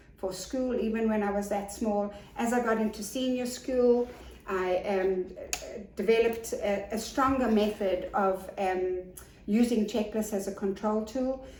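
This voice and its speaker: Her voice is fairly high-pitched, as a woman speaks at a fairly slow pace with fairly even intonation. Noticeable background noise and audible room echo fill the recording. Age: 60s. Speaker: business support consultant and author. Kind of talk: interview.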